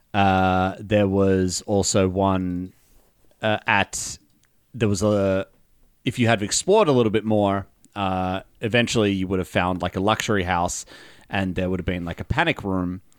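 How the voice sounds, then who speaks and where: In a normal speaking voice, a man with a fairly low pitch speaks at a moderate pace with fairly even intonation. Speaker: game master. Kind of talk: casual chat.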